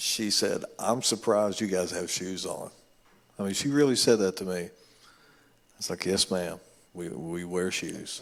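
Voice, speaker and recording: With a Kentucky accent, a man speaks in a very deep, low voice with ordinary pitch variation at a moderate pace. He leaves long, frequent pauses. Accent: Kentucky twang. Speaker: musician. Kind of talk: panel discussion.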